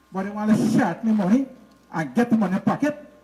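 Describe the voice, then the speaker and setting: A man's high voice with lively intonation at a fairly quick pace, over noticeable background noise. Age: 60s. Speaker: village resident. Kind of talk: public address.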